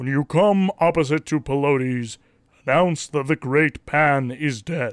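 A put-on character voice from a man, fairly high in pitch and fairly slow in pace. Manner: commanding, grand, declaring.

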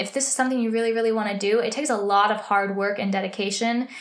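With an American accent, a woman speaks at a fairly high pitch with ordinary pitch variation, and audible room echo surrounds her voice. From US, small town. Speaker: podcaster, musical theater graduate. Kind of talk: casual solo podcast chat. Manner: animated.

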